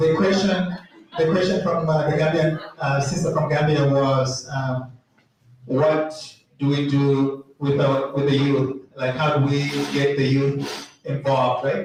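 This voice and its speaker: A man speaks at a fairly slow pace in a fairly high pitch. His intonation is fairly even and his loudness very even, with audible room echo. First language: not English. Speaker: meeting moderator. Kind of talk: community meeting Q&A.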